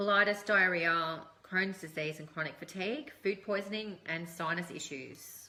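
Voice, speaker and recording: A woman speaks in an Australian accent with ordinary pitch variation. Noticeable background noise runs underneath. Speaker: essential oils presenter. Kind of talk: live stream tutorial. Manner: casual with many fillers.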